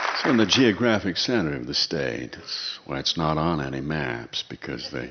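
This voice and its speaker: At a moderate pace, a man with a Midwestern accent talks in a very deep, low voice with vocal fry. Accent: American Midwest. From Minnesota, USA. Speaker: radio host and humorist. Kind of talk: humorous storytelling performance.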